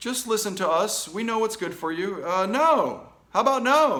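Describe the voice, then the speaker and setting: Loud and animated, a man with an American accent talks with very wide pitch swings. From United States. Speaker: political commentary show host. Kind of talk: opinion commentary reading news articles.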